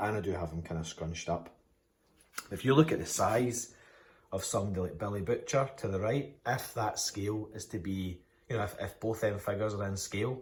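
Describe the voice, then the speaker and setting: Enthusiastic and somewhat breathy, a man speaks with a Scottish accent at a fairly quick pace and fairly low pitch, with ordinary pitch variation. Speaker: toy collector YouTuber. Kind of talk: casual product review vlog.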